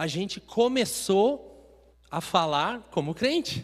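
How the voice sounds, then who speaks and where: In a very clean recording with a silent background, a man with a southern Brazilian accent speaks with very wide pitch swings. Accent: gaúcho accent, acquired. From Minas Gerais, Brazil. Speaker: preacher. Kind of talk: sermon. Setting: church.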